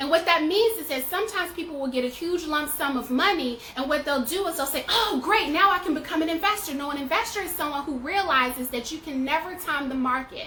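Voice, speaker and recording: A woman's raised, projected voice, high in pitch and animated in tone, with lively intonation at a very fast pace, hardly any pauses, and noticeable background noise. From US South. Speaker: personal finance educator. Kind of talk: tutorial. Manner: casual.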